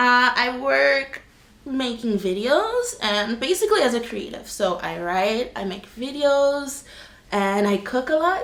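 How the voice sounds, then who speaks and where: Over noticeable background noise, a woman with an American accent talks at a fairly slow pace in a high pitch, her voice making very wide pitch swings. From US (Boston and California). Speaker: vlogger. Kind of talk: casual Q&A chat.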